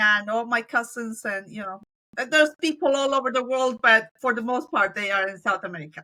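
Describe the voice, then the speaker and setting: Quick-paced and bright, a woman with a Spanish accent speaks at a fairly high pitch in a sharp tone, with ordinary pitch variation. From Colombia. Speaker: business owner. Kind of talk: interview.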